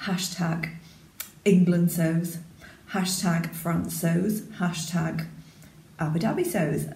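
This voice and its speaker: A woman's fairly low, dark, mellow voice with vocal fry, monotone, flat intonation, a very slow pace and long, frequent pauses. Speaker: sewing vlogger. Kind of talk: casual talk to camera. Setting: echoey spare room. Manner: quiet.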